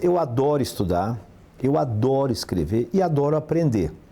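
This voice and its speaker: Very wide pitch swings in the dark, mellow tone of a man. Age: 60s. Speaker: physical education professor. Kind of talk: interview.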